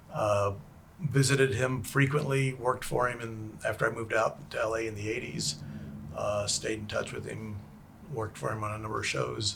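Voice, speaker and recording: There is audible room echo as a man speaks with an American accent. His medium-pitched voice keeps a moderate pace with ordinary pitch variation. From Texas, Houston. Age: 60s. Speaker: special effects makeup artist. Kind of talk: interview chat.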